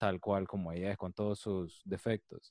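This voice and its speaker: A man with a Panamanian accent, fairly low in pitch, with a dark, mellow tone in a dry, close sound with no echo, on a very clean recording with a silent background. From Panama, Colón. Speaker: psychologist. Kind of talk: interview.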